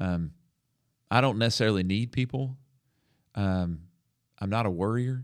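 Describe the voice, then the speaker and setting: In a Southern US accent, a man talks at a moderate pace. His fairly low voice comes through on a very clean recording with a silent background. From US South, Alabama. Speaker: podcast host, minister and counselor. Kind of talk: testimony. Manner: halting.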